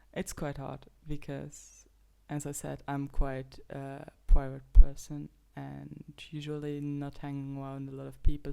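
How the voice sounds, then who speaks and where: A woman's very deep, low voice, dark and mellow in tone, with a Luxembourgish accent, on a very clean recording with a silent background. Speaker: podcast host. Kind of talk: casual monologue. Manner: halting.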